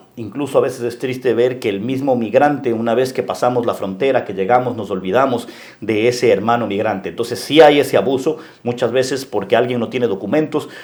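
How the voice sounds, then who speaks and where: A man with a medium pitch and ordinary pitch variation speaks at a fairly quick pace. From Ecuador, coastal (Guayaquil). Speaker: local politician and businessman. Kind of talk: interview. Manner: halting.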